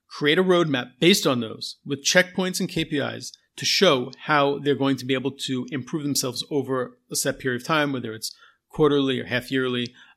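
A man talks in a normal speaking voice, fairly high in pitch with ordinary pitch variation. He speaks at a fairly quick pace in a very clean recording with a silent background. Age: 40s. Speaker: podcast host and technical writer. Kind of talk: solo podcast monologue. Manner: casual with frequent fillers.

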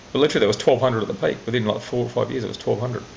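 Noticeable background noise sits behind a man speaking with an Australian accent. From Australia, central Queensland. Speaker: tech startup investor. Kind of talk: interview. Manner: halting.

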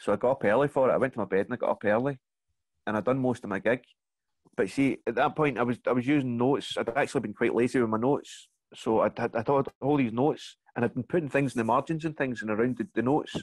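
Very fast speech in a Glaswegian accent, with fairly even intonation and a dry, close sound with no echo. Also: man, medium pitch for a man. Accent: Glaswegian Scottish. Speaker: comedian. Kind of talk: casual chat. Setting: video call.

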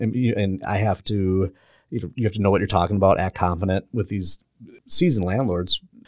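This man has an unremarkable speaking voice, fairly low in pitch with fairly even intonation, at a fairly quick pace. The recording is very clean and dry, close with no echo, over a silent background. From Milwaukee area, Wisconsin. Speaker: realtor. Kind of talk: casual chat. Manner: laughs often.

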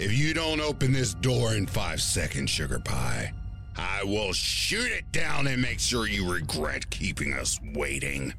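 A man speaks at a fairly slow pace over loud music in the background. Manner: leering, sing-song taunting, menacing.

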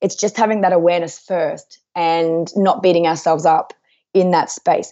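Her unremarkable speaking voice sits at a medium pitch with fairly even intonation. The woman moves at a fairly quick pace. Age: 30s. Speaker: author and life coach. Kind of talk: interview. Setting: remote call at night without power.

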